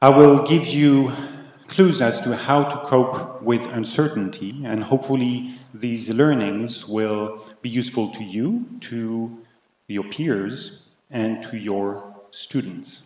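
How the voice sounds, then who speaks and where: Amid audible room echo, a man with a French accent speaks at a very slow pace in a medium pitch, with ordinary pitch variation. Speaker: conference keynote speaker. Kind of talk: keynote talk. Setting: conference, partly virtual audience.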